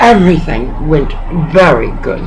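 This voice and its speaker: A woman with a Southern US accent speaks at a very slow pace, with noticeable background noise and audible room echo. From US South. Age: 60s. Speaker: pastor. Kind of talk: phone call complaint.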